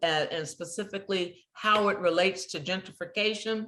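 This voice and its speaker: At a moderate pace, a woman with an American accent speaks at a medium pitch with fairly even intonation in an ordinary speaking voice. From US West Coast, San Francisco (Hunters Point). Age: 60s. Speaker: community TV producer and host. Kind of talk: interview conversation.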